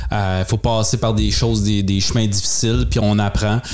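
A man with a Quebec accent, fairly low in pitch, at a moderate pace over noticeable background noise. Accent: Québécois French. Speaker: podcast co-host. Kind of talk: casual chat.

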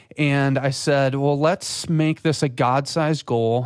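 Here a man talks at a moderate pace with an Upper Midwest accent. His intonation stays fairly even. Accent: Upper Midwest American. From West Michigan. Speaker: church creative director. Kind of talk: casual interview.

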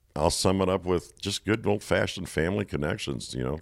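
A man with a very deep, low pitch and vocal fry talks at a fairly quick pace. His pitch variation is ordinary, and the sound is dry and close with no echo. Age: 60s. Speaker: coaching organization founder. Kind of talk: casual chat.

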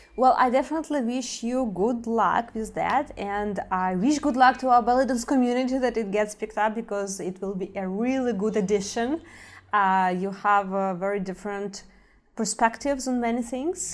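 With a plain, everyday voice, a woman talks at a moderate pace, her fairly high pitch showing ordinary pitch variation. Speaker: podcast host. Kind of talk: interview.

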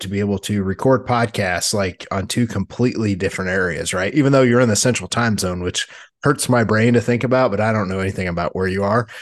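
Moving at a fairly quick pace, a man speaks in a fairly low pitch with ordinary pitch variation. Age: 40s. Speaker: fitness and diet coach podcast host. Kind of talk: casual chat. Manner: animated.

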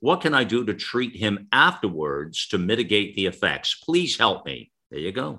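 Over a silent background in a very clean recording, a man with a fairly low pitch and a bright, sharp tone speaks at a moderate pace with very wide pitch swings and hardly any pauses. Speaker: radio host. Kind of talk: Q and A broadcast discussion. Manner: conversational, hesitant with filler words.

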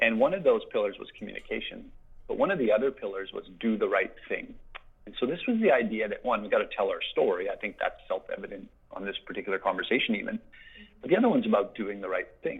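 A man speaks with a Canadian Prairies accent. His pace is very fast. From Saskatchewan, Canada. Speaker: agricultural industry relations director. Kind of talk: interview. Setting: phone call. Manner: animated.

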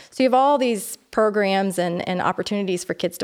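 A woman speaks at a fairly quick pace in an American accent. Her medium pitch moves with ordinary variation. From Ontario, Canada. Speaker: nonprofit executive. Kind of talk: interview conversation. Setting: studio.

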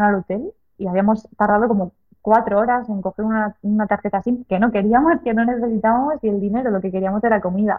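A woman with a plain, everyday voice speaks at a fairly quick pace, her fairly high pitch moving in a fairly even line. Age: 30s. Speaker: long-distance cycle traveller. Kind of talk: interview.

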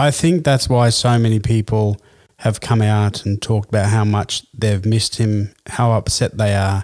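A man talks at a moderate pace in a fairly low pitch, with very even loudness and fairly even intonation. The recording is very clean with a silent background and a dry, close sound with no echo. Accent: Australian. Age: 40s. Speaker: sports podcast host. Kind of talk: casual chat.

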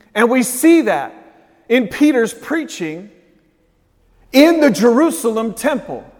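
Extremely high-pitched male voice with lively intonation, a fairly slow pace and audible room echo. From raised in a city. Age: 40s. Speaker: pastor. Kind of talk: Sunday sermon, preacher building to an impassioned, repetitive crescendo. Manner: rhythmic, emphatic preaching cadence with punchy short repeated phrases; urgent, rising intensity, pressing on.

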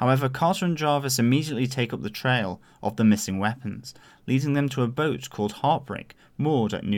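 On a very clean recording with a silent background, this man uses a normal speaking voice, with a medium pitch, ordinary pitch variation and a moderate pace. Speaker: podcast host. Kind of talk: casual podcast discussion.

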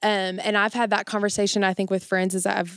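An ordinary speaking voice moves at a fairly quick pace in a very clean recording with a silent background. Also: woman. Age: 20s. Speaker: university event coordinator. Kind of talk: casual interview chat.

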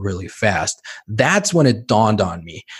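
There is a somewhat breathy man with a fairly low voice. The recording is very clean, with a silent background. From Mexico City. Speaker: physician. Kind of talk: interview conversation. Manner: repetitive, stammering restarts.

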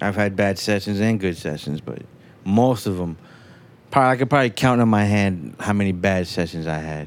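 Lively intonation marks a man with an American accent and a fairly low pitch. He has a normal speaking voice. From New York. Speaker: recording engineer. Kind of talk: casual chat.

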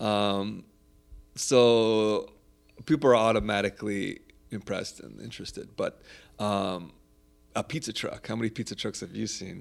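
At a moderate pace and fairly low pitch, a man with an American accent speaks with long, frequent pauses and big swings in loudness while music plays in the background. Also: ordinary pitch variation. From Southern California, Orange County. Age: 40s. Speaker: pizza chef and food truck owner. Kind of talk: casual interview.

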